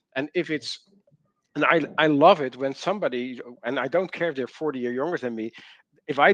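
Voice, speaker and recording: Over a quiet background with a dry, close sound and no echo, a man talks fairly quickly in an ordinary speaking voice at a fairly high pitch with ordinary pitch variation. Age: 60s. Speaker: learning strategist and company co-founder. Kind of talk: webinar panel discussion.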